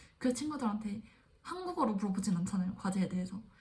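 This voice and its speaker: Audible room echo surrounds a woman who speaks at a very fast pace in a fairly high pitch with lively intonation. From South Korea. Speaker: graduate student vlogger. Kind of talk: casual vlog monologue.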